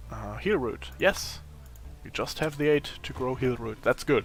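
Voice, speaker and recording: There is music behind this recording. The man's pitch varies in an ordinary way, and his pace is moderate. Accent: German. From Germany. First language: German. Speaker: gaming youtuber. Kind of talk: let's play commentary.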